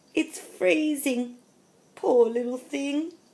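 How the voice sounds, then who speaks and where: A woman does a put-on character voice, pitched high and with lively intonation. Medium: read story.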